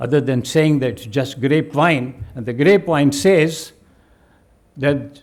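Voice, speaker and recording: A man speaks at a very slow pace. His voice is fairly high, with ordinary pitch variation. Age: 70s. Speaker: retired army general and keynote speaker. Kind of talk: keynote speech. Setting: stage with audience.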